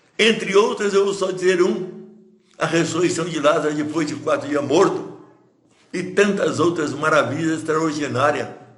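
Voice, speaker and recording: With audible room echo, a man speaks at a high pitch and a moderate pace with lively intonation. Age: 80s+. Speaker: pastor. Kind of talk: sermon. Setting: livestream.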